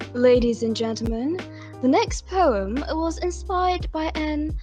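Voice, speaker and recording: Music runs in the background while a woman talks. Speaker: event host / emcee. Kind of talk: formal event announcement.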